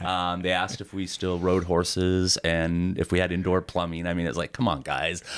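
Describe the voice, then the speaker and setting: A man speaks with an American accent in a very deep, low voice. His intonation is monotone and flat. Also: moderate pace. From Montana (Florence, near Missoula). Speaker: retired fire captain. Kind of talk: interview. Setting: in person at guest's home area. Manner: hesitant, many fillers.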